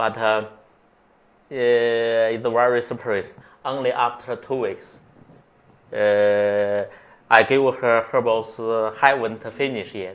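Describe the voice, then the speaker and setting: This man speaks in a Chinese accent at a medium pitch. His intonation is monotone and flat. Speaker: acupuncturist. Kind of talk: interview. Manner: halting.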